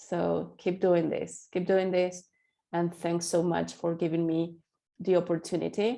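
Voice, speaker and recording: With a Spanish accent, a woman speaks in a monotone, flat way at a fairly low pitch, her tone dark and mellow against a quiet background. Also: fairly slow pace. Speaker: accessibility specialist. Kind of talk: interview. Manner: halting.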